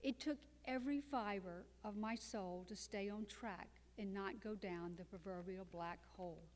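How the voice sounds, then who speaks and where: A woman talks in a plain, everyday voice at a medium pitch. Her pace is fairly slow, and her pitch varies in an ordinary way. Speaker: cancer survivor and author. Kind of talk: testimony.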